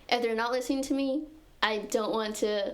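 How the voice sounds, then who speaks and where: Audible room echo and noticeable background noise surround the voice. The pace is moderate and the intonation fairly even. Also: woman. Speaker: physics student and society officer. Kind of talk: casual chat. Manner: soft-spoken.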